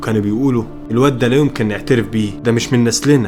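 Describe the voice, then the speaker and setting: Music in the background and ordinary pitch variation. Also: man. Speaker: horror story narrator. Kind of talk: first-person horror story narration.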